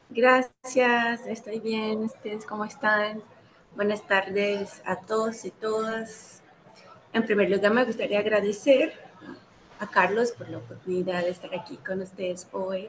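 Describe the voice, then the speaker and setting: Over noticeable background noise, a woman with a fairly high voice speaks at a fairly slow pace, her intonation fairly even and her loudness swinging widely. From Brazil. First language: Portuguese (speaking Spanish). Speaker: anthropologist, doctoral student. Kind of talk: interview.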